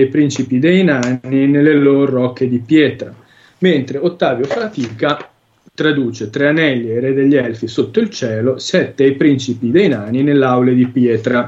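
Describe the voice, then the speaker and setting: This man's voice sits fairly high in pitch. Its pitch variation is ordinary. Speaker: translation analyst. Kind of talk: lecture. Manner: halting.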